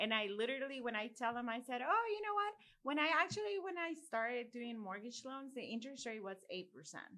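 With a Mexican accent, a woman speaks at a fairly quick pace with hardly any pauses, a high pitch, very wide pitch swings and a bright, sharp tone. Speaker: podcast host and mortgage loan professional. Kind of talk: casual chat.

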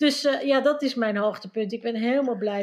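This woman's pitch sits high. She keeps her intonation fairly even. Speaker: Dutch expat panelist. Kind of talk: casual chat.

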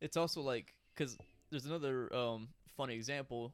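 Speaking at a medium pitch, a man uses ordinary pitch variation. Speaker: artist, host's brother. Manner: joking, crude humor.

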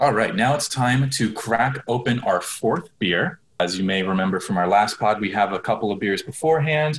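This man talks at a moderate pace in an ordinary speaking voice, medium in pitch, with lively intonation and hardly any pauses. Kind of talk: casual comedic banter. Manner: joking, sarcastic.

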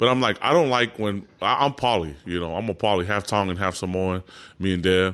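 Heard on a very clean recording with a silent background, a man with a plain, everyday voice speaks at a fairly quick pace with ordinary pitch variation. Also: fairly low pitch for a man. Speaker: podcast host and fitness trainer. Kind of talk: casual chat.

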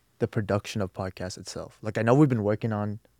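A man's dark, mellow voice with an American accent and ordinary pitch variation, on a very clean recording with a silent background. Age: young. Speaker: student podcast co-host. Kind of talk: casual chat. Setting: studio.

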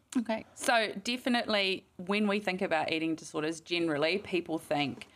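Lively intonation from a woman at a fairly low pitch and moderate pace, in a very clean recording with a silent background. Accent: New Zealand. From New Zealand, Mount Maunganui. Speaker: clinical psychologist. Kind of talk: interview.

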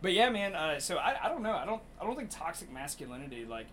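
Noticeable background noise sits behind a man talking at a very fast pace. His pitch swings very widely. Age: 30s. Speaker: comedy podcast host. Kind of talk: casual chat.

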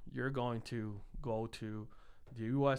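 With a slight Puerto Rican accent, a man speaks at a medium pitch in a flat, monotone delivery. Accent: light Puerto Rican Spanish-accented English. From Puerto Rico (San Juan). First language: Spanish. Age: 30s. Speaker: engineer. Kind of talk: casual chat.

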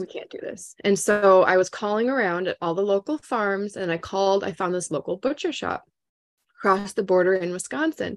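In an Upper Midwestern accent, a woman speaks at a moderate pace and medium pitch, with ordinary pitch variation. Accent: Upper Midwestern American.

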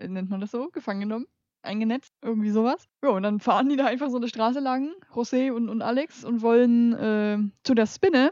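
Her fairly high pitch with ordinary pitch variation comes through a dry, close sound with no echo as a woman talks. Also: fairly quick pace. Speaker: trash film podcast co-host. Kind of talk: casual chat. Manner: soft-spoken. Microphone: too quiet, turned up.

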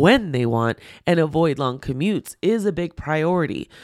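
A woman talks at a moderate pace in a very deep, low voice. The recording is very clean, with a silent background. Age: 40s. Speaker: podcast host and pet-business consultant. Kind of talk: solo podcast monologue. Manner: casual, filler-heavy.

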